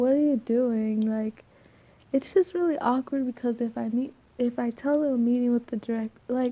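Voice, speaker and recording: Soft-spoken and high-pitched, a woman talks at a moderate pace in a dark, mellow tone. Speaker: student vlogger. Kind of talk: casual chat. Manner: quiet.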